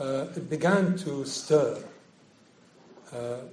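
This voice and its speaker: A man talks with ordinary pitch variation. Noticeable background noise and audible room echo fill the recording. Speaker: historian and visiting professor. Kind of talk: lecture. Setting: lecture hall with audience. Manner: halting, many fillers.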